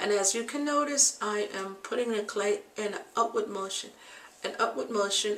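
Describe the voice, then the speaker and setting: Noticeable background noise sits behind a woman whose fairly high voice carries fairly even intonation. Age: 60s. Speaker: beauty and health vlogger. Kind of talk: tutorial. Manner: casual, with frequent fillers.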